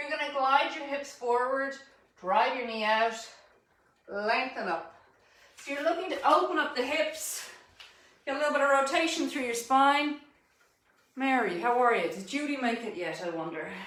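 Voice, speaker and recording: In an Irish accent, a woman speaks with a high pitch and lively intonation at a moderate pace. Long, frequent pauses are heard, along with audible room echo. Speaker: fitness instructor. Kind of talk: live online fitness class instruction.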